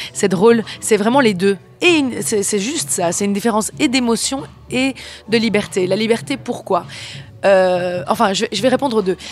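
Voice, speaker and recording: Over noticeable background noise, a woman with a Belgian accent speaks at a moderate pace and medium pitch with lively intonation. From Belgium. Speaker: singer-songwriter and actress. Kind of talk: interview. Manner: hesitant, many fillers.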